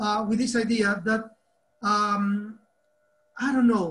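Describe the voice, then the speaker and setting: Speaking at a fairly slow pace, a man with an Argentine accent has a high pitch and monotone, flat intonation. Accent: Argentinian. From Argentina. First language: Spanish. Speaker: teacher trainer. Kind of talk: online workshop talk.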